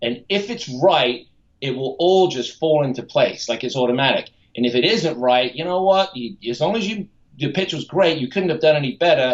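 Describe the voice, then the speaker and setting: Using an unremarkable speaking voice, a man talks at a moderate pace in a fairly high pitch with lively intonation. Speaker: TV pitchman / infomercial spokesman. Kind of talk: podcast interview answer.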